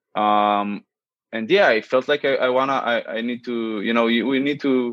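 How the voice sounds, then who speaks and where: A man speaks with an Israeli accent at a fairly slow pace. His intonation stays fairly even. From Israel, central area. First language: Hebrew. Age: 20s. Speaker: student and startup app developer. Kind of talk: casual interview. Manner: halting, many fillers.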